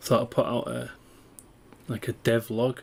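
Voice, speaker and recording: A man speaks with a Yorkshire accent. His intonation is fairly even. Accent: Yorkshire accent (self-described). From northern England, East Riding of Yorkshire; northern England. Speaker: indie game developer. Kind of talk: dev log walkthrough. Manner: hesitant, many fillers. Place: home room.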